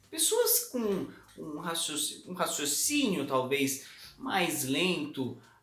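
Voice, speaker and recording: A man's pitch swings very widely, with audible room echo around him. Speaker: communication coach. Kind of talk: tutorial.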